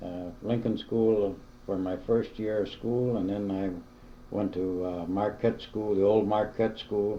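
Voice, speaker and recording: In a room with audible echo, a man talks at a fairly low pitch and a fairly slow pace, his tone dark and mellow and his intonation monotone and flat. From US Midwest, Madison, Wisconsin. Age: 70s. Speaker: interviewee, retired local resident. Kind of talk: oral history interview. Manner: halting, many fillers.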